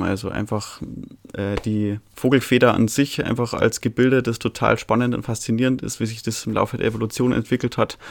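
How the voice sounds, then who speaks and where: In a monotone, flat intonation, the words come at a fairly quick pace. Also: man. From Bavaria, Altötting area. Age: 20s. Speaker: birdwatcher and nature volunteer. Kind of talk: interview. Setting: video call.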